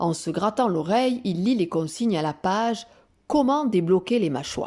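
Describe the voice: The intonation stays lively throughout. It is plain reading aloud.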